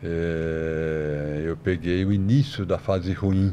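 The man's voice has a dark, mellow tone. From São Paulo, Brazil. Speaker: financial analyst. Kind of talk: podcast interview.

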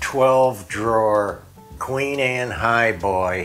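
A man talks with ordinary pitch variation while faint music plays in the background. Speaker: home vlogger showing a shopping haul. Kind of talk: casual vlog chat. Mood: amused, regretful storytelling. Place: home room. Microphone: lapel.

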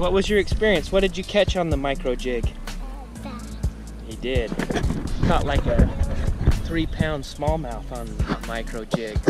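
A man's fairly slow speech with long, frequent pauses, dry with no echo, over clear background music. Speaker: fishing vlogger. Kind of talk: casual vlog chat. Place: waterside. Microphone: phone near.

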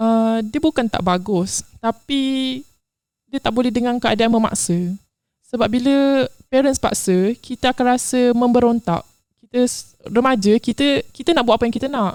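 Recorded with a dry, close sound and no echo, a woman talks at a moderate pace in a high voice with ordinary pitch variation. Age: 20s. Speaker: interview guest sharing life story. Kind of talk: confessional interview.

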